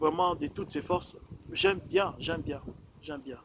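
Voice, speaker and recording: A fairly high-pitched male voice over noticeable background noise. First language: not French (speaking French). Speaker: preacher. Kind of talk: sermon. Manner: measured, calm pace; hesitant, many fillers and repetitions.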